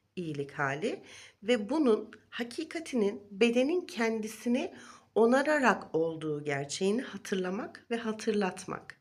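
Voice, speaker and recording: A woman's fairly high voice with very wide pitch swings at a fairly slow pace. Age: 40s. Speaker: wellness vlogger. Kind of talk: vlog monologue. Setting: recorded video.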